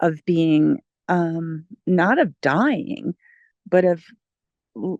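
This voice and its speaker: Against a quiet background, a woman's fairly low voice comes through with a dry, close sound with no echo. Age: 60s. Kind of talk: group discussion.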